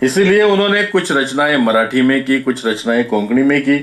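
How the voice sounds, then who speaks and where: Lively intonation from a man at a medium pitch. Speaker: speaker on Goan culture and history. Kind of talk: talk to an audience. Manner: halting.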